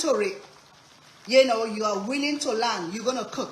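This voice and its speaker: A woman speaks at a moderate pace in a fairly high pitch with ordinary variation and an animated tone. Audible room echo and noticeable background noise surround her voice. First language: Sierra Leonean language. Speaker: cooking streamer. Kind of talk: live cooking stream chat.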